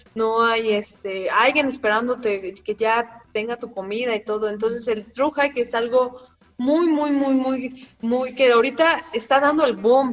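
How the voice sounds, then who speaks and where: Against noticeable background noise, a woman with a high pitch talks at a fairly slow pace with hardly any pauses and ordinary pitch variation. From Mexico City. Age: 20s. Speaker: long-distance hiker. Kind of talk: casual interview.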